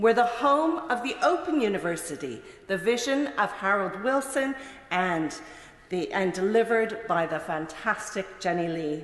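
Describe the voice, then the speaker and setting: With a Mid-Atlantic accent, the speaker moves at a moderate pace with very wide pitch swings, amid audible room echo and noticeable background noise. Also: woman, medium pitch for a woman. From Canada. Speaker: politician. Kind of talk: parliamentary speech. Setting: parliament chamber. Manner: formal.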